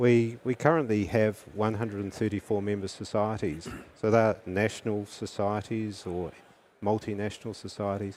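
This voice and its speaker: A man with a South African accent speaks at a moderate pace in a fairly low pitch, with fairly even intonation, on a very clean recording with a silent background. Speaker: anesthesiologist. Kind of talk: interview.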